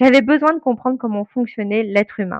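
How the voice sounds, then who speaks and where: A woman with a normal speaking voice talks at a fairly high pitch and a fairly quick pace. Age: 40s. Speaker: brand naming consultant. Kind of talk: interview.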